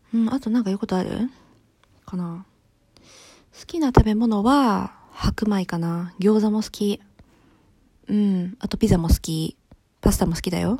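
A woman's voice, dark and mellow in tone and somewhat breathy, has ordinary pitch variation. Her loudness swings widely, and she leaves long, frequent pauses. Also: medium pitch for a woman, moderate pace. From Japan. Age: 20s. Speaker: solo podcaster. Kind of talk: casual monologue. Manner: casual, chatty.

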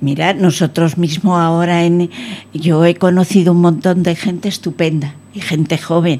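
Slow-ish and flat, a woman's fairly low voice holds a monotone intonation and very even loudness at a fairly slow pace. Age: 80s+. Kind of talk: radio interview. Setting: radio studio.

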